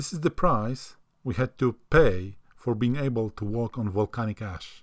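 Fairly slowly, a man talks with a non-native accent. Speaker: hiker. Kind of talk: travel vlog narration.

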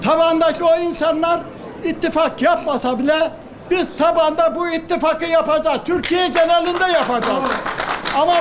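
Crowd noise fills the background as a man talks at a moderate pace. His voice is extremely high. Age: 80s+. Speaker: elderly supporter. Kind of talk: public speech.

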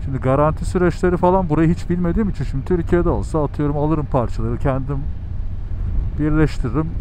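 Against light background noise in a dry sound with no echo, a man talks at a very fast pace with ordinary pitch variation. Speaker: motovlogger. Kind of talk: casual vlog chat. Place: motorbike. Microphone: helmet.

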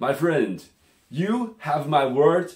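A man speaks with lively intonation and vocal fry. Room echo is audible, though the background is quiet. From China. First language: Chinese. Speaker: language teacher. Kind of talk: self-introduction pitch. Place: home room. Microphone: phone near.

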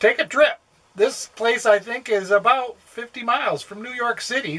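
Speaking very slowly, a man lets his pitch vary in an ordinary way. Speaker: RV travel vlogger. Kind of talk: casual vlog chat. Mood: quiet, others asleep. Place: home room. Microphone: phone near.

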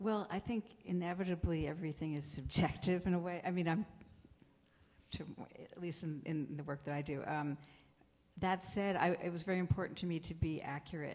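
Intonation stays fairly flat as the words come at a fairly brisk rate. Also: woman, fairly low pitch for a woman. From small-town Pennsylvania. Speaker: composer. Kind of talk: panel discussion.

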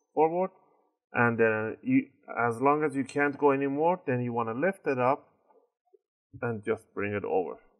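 A man at a moderate pace, ordinary pitch variation, quiet background. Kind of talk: tutorial. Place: workshop.

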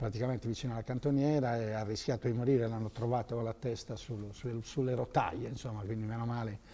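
This man's voice has a dark, mellow tone and a medium pitch. He talks at a fairly quick pace in a monotone, flat intonation. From Sardinia, Sassari area; Sardinia. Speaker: former telecom manager; interview guest. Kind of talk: interview. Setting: TV studio. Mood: relaxed, smiling. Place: studio. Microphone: lapel.

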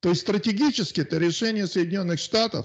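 A man's intonation rises and falls in a lively way while the background stays quiet. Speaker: guest, Russian emigrant in Australia. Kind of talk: casual discussion on politics. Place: home room. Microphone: handheld.

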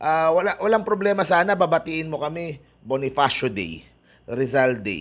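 A man speaks at a fairly slow pace in a high voice, his pitch swinging very widely. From Philippines. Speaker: basketball YouTuber. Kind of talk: casual vlog commentary. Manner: animated. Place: home room. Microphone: earbuds.

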